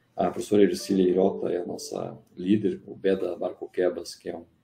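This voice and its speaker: A man at a moderate pace. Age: 60s. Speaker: engineering professor. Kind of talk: interview on a live stream. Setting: online live stream.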